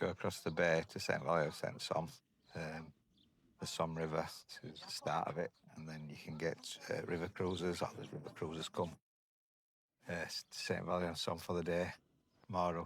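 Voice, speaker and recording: A man with a very deep, low voice speaks at a moderate pace and fairly even intonation. He takes long, frequent pauses. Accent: Yorkshire. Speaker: campsite owner and vlogger. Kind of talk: travel vlog.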